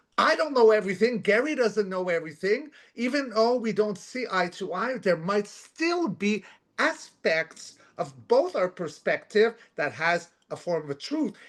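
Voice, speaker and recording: Loud and high-pitched, a man speaks at a fairly slow pace. His pitch swings very widely. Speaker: co-host of spiritual talk show. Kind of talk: casual chat. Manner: halting, many fillers.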